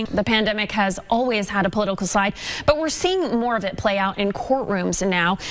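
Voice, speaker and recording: A woman at a fairly quick pace, medium pitch and ordinary pitch variation, over noticeable background noise. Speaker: TV news anchor and reporter. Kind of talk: TV news anchor read.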